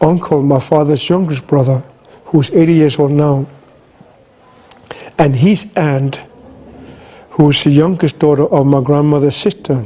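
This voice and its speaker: Fairly even intonation from a man at a fairly high pitch, with noticeable background noise. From Greenland. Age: 60s. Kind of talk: talk.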